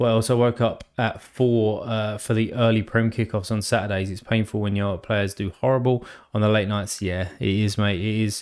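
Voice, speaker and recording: With an English accent, a man speaks at a moderate pace and fairly low pitch, in a monotone, flat intonation with hardly any pauses. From England. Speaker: sports card game streamer. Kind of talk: live stream chat. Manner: casual, filler-heavy.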